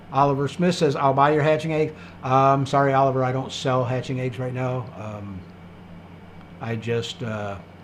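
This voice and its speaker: In a room with audible echo, a man talks at medium pitch and a moderate pace with ordinary pitch variation. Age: 60s. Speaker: livestream host, quail breeder. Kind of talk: live stream Q&A, reading chat comments. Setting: live stream. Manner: casual, many fillers.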